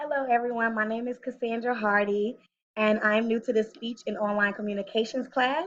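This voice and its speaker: Speaking in an American accent, a woman uses fairly high pitch and fairly even intonation at a fairly quick pace. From Texas, Killeen. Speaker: college student. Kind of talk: self-introduction recording. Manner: hesitant, many fillers.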